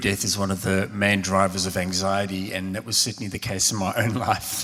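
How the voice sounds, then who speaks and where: A man with a South African accent talks at a moderate pace in a fairly low voice. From South Africa, Cape Town. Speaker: theologian and minister. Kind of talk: live public conversation. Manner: hesitant, many fillers.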